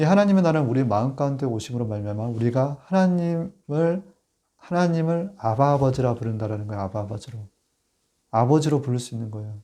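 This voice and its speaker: Lively intonation and a dark, mellow tone at a fairly quick pace, on a very clean recording with a silent background. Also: man, medium pitch for a man. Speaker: pastor. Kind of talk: sermon.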